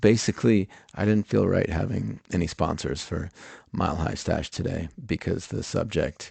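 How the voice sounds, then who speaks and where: A man speaks with lively intonation and vocal fry. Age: 40s. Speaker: podcast host. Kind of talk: podcast intro monologue. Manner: halting, many fillers.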